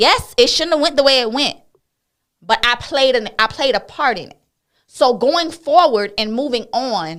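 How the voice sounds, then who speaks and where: A high-pitched woman at a moderate pace, lively in intonation, with big swings in loudness. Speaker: talk show host. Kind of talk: casual chat.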